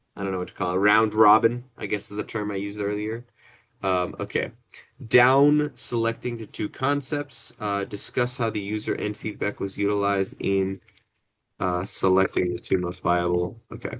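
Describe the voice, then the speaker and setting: Fairly low male pitch, fairly even intonation and a moderate pace from a man over a quiet background. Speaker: student. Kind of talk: group project meeting. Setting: video call. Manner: hesitant, many fillers; mumbling while rereading.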